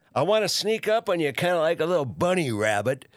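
Very wide pitch swings and vocal fry run through a man's speech at a moderate pace. The recording is very clean, with a silent background. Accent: American. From Minnesota, Minneapolis. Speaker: podcast host, former radio talk show host. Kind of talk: casual monologue. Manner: halting.

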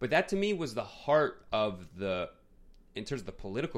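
A man at a fairly quick pace with lively intonation, on a very clean recording with a silent background. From US Northeast, Queens, New York. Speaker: film podcast co-host. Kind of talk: casual chat.

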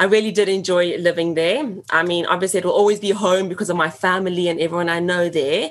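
A woman's medium-pitched voice with a South African accent. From Johannesburg, South Africa. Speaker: teacher, podcast guest. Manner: fast talker; enthusiastic, expressive.

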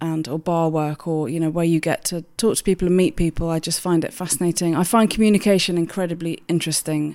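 A woman in a southern English accent. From southern England, Hampshire. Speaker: food awards chief executive. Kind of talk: interview.

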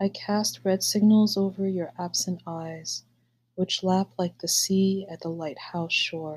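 Somewhat breathy, a woman speaks at a very slow pace in a medium pitch with ordinary pitch variation. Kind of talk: poem reading, unhurried and wistful, after a casual chatty intro. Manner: slow, soft, measured and pensive; halting, hesitant in the casual intro.

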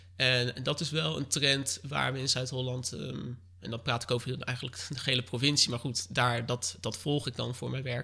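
The bright, sharp tone carries vocal fry, moving at a moderate pace with hardly any pauses and ordinary pitch variation. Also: man, medium pitch for a man. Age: 20s. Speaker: local political candidate. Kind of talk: interview. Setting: living room of his mother's home.

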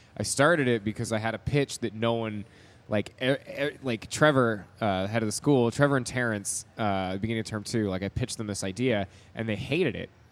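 Speaking at a moderate pace, a man with an unremarkable speaking voice keeps a medium pitch with ordinary variation. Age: 30s. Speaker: film student. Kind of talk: casual chat.

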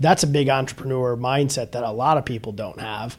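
A man talks at a fairly quick pace in an unremarkable speaking voice, fairly high-pitched, with fairly even intonation. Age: 30s. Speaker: podcast host. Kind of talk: casual interview.

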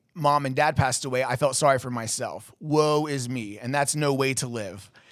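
A man's voice with ordinary pitch variation. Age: 30s. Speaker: podcast host. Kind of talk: casual chat. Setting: studio. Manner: fast talker.

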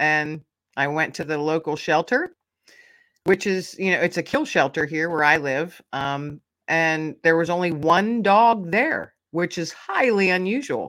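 A woman speaks at a fairly slow pace in an ordinary speaking voice. The recording is very clean, with a silent background. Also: fairly low pitch for a woman, ordinary pitch variation. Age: 50s. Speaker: podcaster and author. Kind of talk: casual chat.

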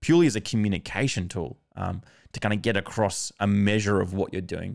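In an Australian accent, a man speaks at a moderate pace and a fairly low pitch. The recording is very clean, with a silent background. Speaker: podcast host. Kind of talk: casual interview conversation.

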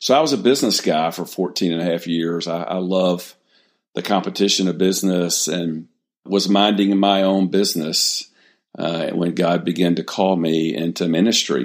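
At a moderate pace, the speaker talks with an Alabama accent on a very clean recording with a silent background. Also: man, very deep, low pitch for a man, ordinary pitch variation. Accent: Southern US (Alabama). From US South, Mobile, Alabama. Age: 60s. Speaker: ministry founder and former pastor. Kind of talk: interview, personal testimony.

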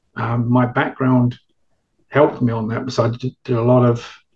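Somewhat breathy, this voice carries a British accent and moves at a moderate pace. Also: man. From England. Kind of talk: interview.

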